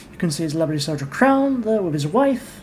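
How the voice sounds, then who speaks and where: A woman talks at a fairly quick pace in a fairly low pitch, with very wide pitch swings. Noticeable background noise can be heard. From England. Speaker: gaming YouTuber. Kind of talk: game commentary with reading aloud.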